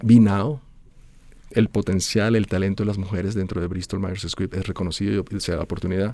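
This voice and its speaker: A man's fairly low, dark and mellow voice at a moderate pace, with ordinary pitch variation. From Venezuela (born in Bogotá, Colombian family). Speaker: pharmaceutical executive. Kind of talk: interview. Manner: hesitant, with fillers and restarts.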